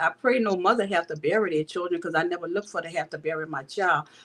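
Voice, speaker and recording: In a New Orleans accent, a woman speaks at a medium pitch. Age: 60s. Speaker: bereaved mother. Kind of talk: testimony.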